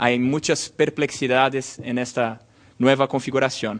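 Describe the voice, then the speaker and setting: A man with a Portuguese accent at a fairly slow pace, medium pitch and monotone, flat intonation. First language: Portuguese (speaking Spanish). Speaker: law lecturer. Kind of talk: lecture. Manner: halting.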